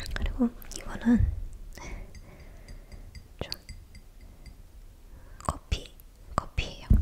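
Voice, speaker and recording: Someone whispers at a very slow pace, leaving long, frequent pauses over noticeable background noise. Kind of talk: ASMR eating and casual chat. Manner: soft-spoken, less whispered.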